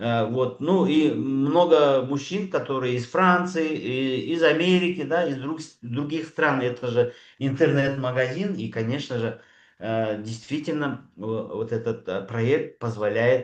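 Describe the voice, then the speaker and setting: A man's medium-pitched voice at a very slow pace. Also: ordinary pitch variation. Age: 60s. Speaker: doctor speaking at a network marketing training. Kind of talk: sales pitch. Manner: hesitant, many filler sounds.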